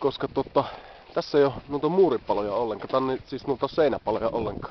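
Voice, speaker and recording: A fairly high-pitched man at a moderate pace with lively intonation, over noticeable background noise. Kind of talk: casual travel video talk to camera. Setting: outdoors. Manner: stammering.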